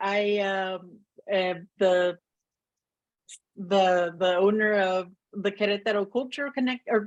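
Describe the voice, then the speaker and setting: A woman speaks at a fairly slow pace. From US, Oregon. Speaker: webinar host. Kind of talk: webinar presentation.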